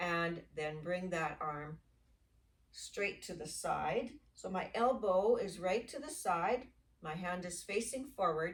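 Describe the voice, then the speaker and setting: A woman with a somewhat breathy voice and lively intonation speaks at a very slow pace. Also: medium pitch for a woman. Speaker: yoga instructor. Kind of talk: guided exercise class. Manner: slow, deliberate pacing.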